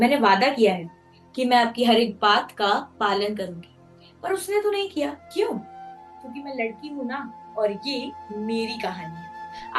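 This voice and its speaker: A woman's fairly high voice with lively intonation and big swings in loudness, music in the background. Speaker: spoken word poet. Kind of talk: spoken word monologue. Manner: emotional.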